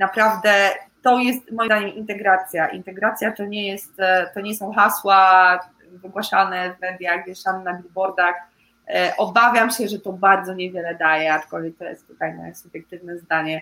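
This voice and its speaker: With a bright, sharp tone, a woman talks at a medium pitch and a moderate pace. Her intonation is fairly even, but her loudness swings a lot. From central Poland, Łódź region village. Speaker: amputee support project coordinator. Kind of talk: interview. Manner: hesitant, with filler sounds.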